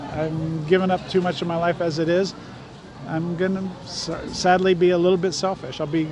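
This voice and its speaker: In a high pitch with an American accent, a man talks at a fairly quick pace in a flat monotone, with audible room echo and noticeable background noise. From Southern California. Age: 60s. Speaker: former city councilman. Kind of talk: casual chat.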